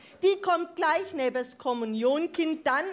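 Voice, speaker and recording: A woman speaks at a fairly slow pace. Her intonation is lively. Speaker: speaker. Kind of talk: comic rhymed carnival speech. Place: hall. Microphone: headset.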